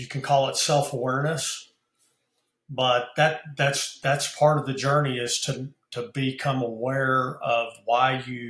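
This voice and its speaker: This man speaks at a very slow pace. His medium-pitched voice stays in a flat monotone. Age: 60s. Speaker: business founder and mentor. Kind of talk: podcast interview. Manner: halting, many fillers and repeats.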